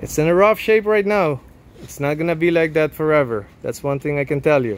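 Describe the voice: With ordinary pitch variation, a man talks at a fairly quick pace in a fairly high pitch.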